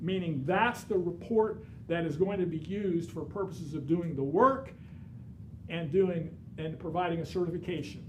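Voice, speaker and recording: Through audible room echo and noticeable background noise, a man with a high pitch talks at a moderate pace with ordinary pitch variation. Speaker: real estate instructor. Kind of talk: lecture.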